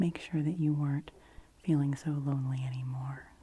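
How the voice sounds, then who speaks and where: A soft-spoken woman has a somewhat breathy, dark and mellow tone. Her intonation stays monotone and flat. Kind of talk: ASMR roleplay. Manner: whispered in parts.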